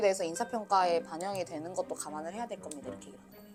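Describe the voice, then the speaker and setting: A woman's voice over music in the background. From Daegu, South Korea. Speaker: YouTuber, office worker. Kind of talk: casual storytelling mukbang. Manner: animated.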